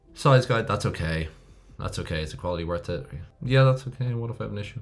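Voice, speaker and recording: An Irish accent from a man, fairly quick, with very wide pitch swings, audible room echo and music in the background. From Ireland. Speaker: email marketing instructor. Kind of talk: tutorial. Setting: screen recording with laptop. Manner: casual, conversational.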